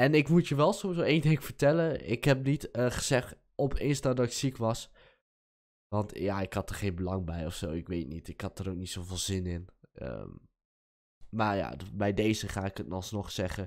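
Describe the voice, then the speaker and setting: Pitched fairly low, a man speaks at a moderate pace with very wide pitch swings. The background is quiet. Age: young. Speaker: gaming youtuber. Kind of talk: casual vlog talk. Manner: hesitant, many filler words. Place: home room. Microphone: studio mic.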